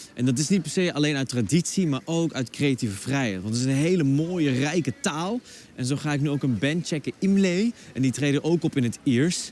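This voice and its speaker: With a Dutch accent, a man speaks at a fairly quick pace in a fairly high voice with lively intonation. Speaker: TV presenter. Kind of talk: TV presenting and interview.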